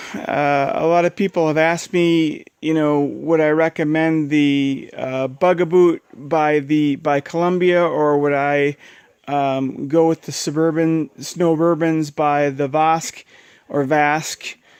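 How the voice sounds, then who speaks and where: The speech comes at a very slow pace in monotone, flat intonation, with a dry, close sound and no echo. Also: man, fairly high pitch for a man. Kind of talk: product review. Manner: halting, many fillers.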